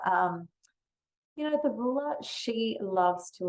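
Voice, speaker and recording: A woman with an Australian accent, fairly slow in pace. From Western Australia. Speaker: money mindset coach. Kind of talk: podcast interview.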